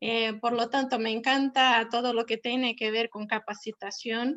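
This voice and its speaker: A woman with a Brazilian accent is speaking. She goes at a fairly slow pace. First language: Portuguese (speaking Spanish). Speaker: professor and platform founder. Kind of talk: webinar presentation.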